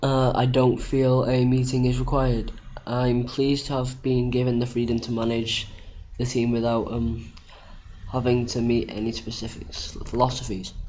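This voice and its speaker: A man with a British accent speaks at a moderate pace in a medium pitch, his intonation flat and monotone, with audible room echo. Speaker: gaming youtuber. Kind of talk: gameplay commentary. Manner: halting; casual.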